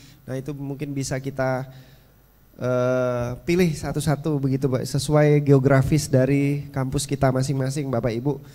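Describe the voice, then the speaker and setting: A man speaks at a moderate pace with a fairly high pitch, a dark, mellow tone and monotone, flat intonation. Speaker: panel moderator. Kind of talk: moderated discussion. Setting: stage with audience. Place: hall. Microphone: handheld.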